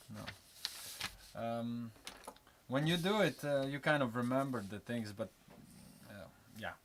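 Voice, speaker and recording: A man with a non-native accent speaks at a very slow pace, with long, frequent pauses. His pitch varies in an ordinary way, while his loudness swings widely. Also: medium pitch for a man. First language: not English. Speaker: tattoo artist. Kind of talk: live drawing demonstration. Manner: halting, many fillers.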